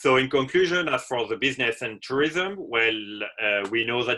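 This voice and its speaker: This is a man talking. He has a French accent. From France. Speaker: hotel manager. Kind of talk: webinar presentation.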